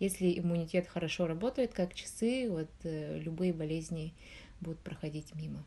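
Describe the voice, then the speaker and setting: A woman with a fairly low pitch talks at a moderate pace with ordinary pitch variation. Her tone is dark and mellow, and somewhat breathy. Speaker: researcher in nutrition and public health. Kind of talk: interview.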